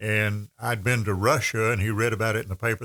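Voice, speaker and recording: This man speaks with an Appalachian accent at a medium pitch. His intonation is fairly even, and the sound is dry and close with no echo. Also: very clean recording, silent background. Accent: Appalachian Southern US. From Western North Carolina (Andrews). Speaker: radio host. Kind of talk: casual chat.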